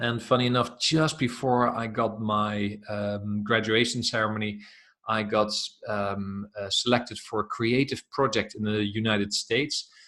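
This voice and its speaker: A man with a Dutch accent has a bright, sharp tone, a fairly low pitch and fairly even intonation. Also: moderate pace. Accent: Dutch, noticeable. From Netherlands. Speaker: self-development coach. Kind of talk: interview.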